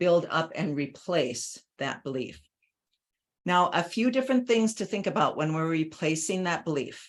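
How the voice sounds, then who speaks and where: In a normal speaking voice, a woman talks at a moderate pace with a fairly low pitch and lively intonation, recorded very cleanly against a silent background. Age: 60s. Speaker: life coach.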